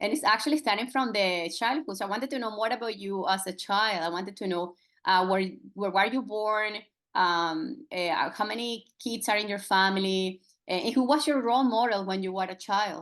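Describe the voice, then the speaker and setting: A woman's medium-pitched voice at a fairly quick pace, with ordinary pitch variation against a quiet background. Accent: Spanish. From Venezuela. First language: Spanish. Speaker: podcast host. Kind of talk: podcast interview. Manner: halting.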